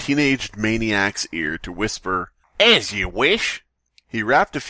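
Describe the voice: Plain reading aloud plays over a quiet background.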